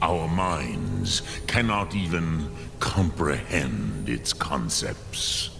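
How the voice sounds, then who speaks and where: Over loud background noise, a man does a put-on character voice at a very slow pace. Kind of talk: solemn fantasy elder. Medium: machinima. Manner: slow, measured, pausing between phrases.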